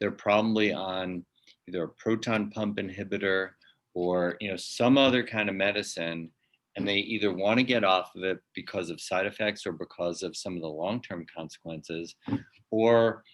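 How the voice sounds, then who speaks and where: A man talks at a moderate pace in an ordinary speaking voice, fairly low in pitch. His intonation is fairly even against a quiet background. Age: 60s. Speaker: naturopathic college president. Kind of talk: interview.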